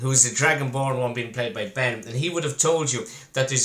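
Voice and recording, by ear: A natural voice reading aloud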